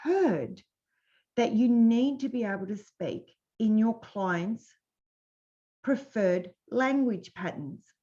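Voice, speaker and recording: Speaking very slowly with long, frequent pauses, a woman uses a fairly high, dark, mellow voice whose pitch swings very widely. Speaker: business coach. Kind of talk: webinar presentation. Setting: live webinar.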